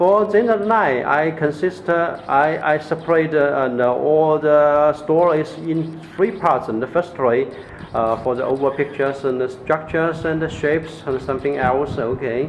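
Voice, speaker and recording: A man with a fairly high voice speaks at a moderate pace with ordinary pitch variation and hardly any pauses, over noticeable background noise. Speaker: LED grow light seller. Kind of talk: product demonstration. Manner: halting, many fillers and repetitions.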